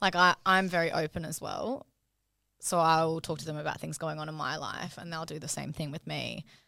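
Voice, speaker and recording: On a very clean recording with a silent background, a woman with an Australian accent, a very deep, low pitch and vocal fry talks at a fairly quick pace, her intonation fairly even but her loudness swinging widely. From Brisbane, Australia. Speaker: registered nurse and cosmetic injector, podcast co-host. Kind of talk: casual chat.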